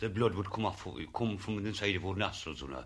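The speaker is a man who talks very fast. The rise and fall of his pitch is ordinary. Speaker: former lime burner. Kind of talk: interview recollection.

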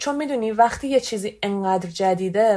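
A woman's fairly high-pitched voice. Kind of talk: personal testimony.

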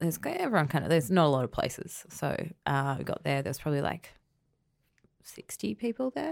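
A woman with an Australian accent at a very fast pace, on a very clean recording with a silent background and a dry, close sound with no echo. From Queensland, Australia. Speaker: comedy writer and director. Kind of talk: casual chat.

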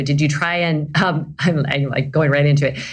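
A woman's somewhat breathy voice. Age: 50s. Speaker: podcast host and yoga instructor. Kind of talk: casual chat.

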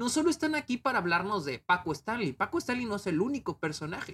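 A man's fairly quick speech with very wide pitch swings, in a dry, close sound with no echo. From Mexico, Chihuahua. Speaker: film critic podcaster. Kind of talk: casual review monologue. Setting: home video recording. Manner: unscripted, hesitant with repetitions.

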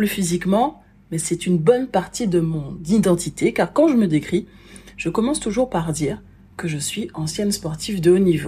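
A woman with a dark, mellow, somewhat breathy tone at medium pitch talks at a moderate pace, using lively intonation and big swings in loudness. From French Antilles. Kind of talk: personal testimony monologue.

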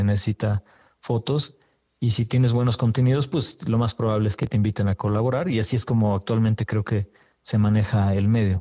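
At a moderate pace, a man with a normal speaking voice talks at medium pitch with fairly even intonation. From Mexico City. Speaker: photographer. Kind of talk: interview.

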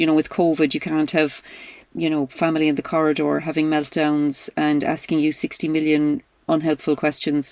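A woman talks at a fairly quick pace with a very deep, low pitch. The sound is dry and close, without echo. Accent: Irish. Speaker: podcast host, comedian. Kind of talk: casual chat.

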